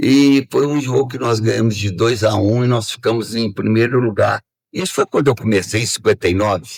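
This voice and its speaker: This man's voice sits at a medium pitch and sounds somewhat breathy, with ordinary pitch variation and a moderate pace. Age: 80s+. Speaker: retired footballer. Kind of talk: interview.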